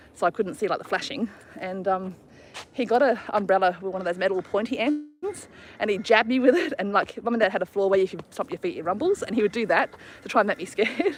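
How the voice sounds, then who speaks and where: With an Australian accent, a woman talks very fast at a medium pitch, her intonation lively. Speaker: travel vlogger. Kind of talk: casual chat. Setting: outdoors.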